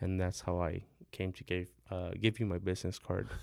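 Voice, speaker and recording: Speaking at a moderate pace with an American accent, a man uses a fairly low pitch in a very clean recording with a silent background. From San Antonio, Texas (Mexican-born). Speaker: metal fabricator. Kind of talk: casual interview. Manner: halting, many fillers.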